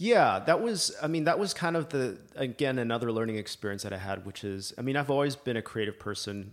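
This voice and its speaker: A man with a Canadian accent has an unremarkable speaking voice and lively intonation. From Canada (Libya expat childhood, then Alberta). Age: 40s. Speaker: filmmaker, former investment banker. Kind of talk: casual interview. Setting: in person, host's home office.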